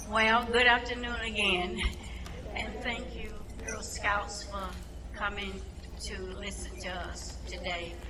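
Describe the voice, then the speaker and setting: With a North Carolina accent, a woman speaks at a very slow pace with long, frequent pauses and big swings in loudness, amid noticeable background noise and audible room echo. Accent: Southern US (North Carolina). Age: 80s+. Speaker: retired city council member. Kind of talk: public speech. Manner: halting.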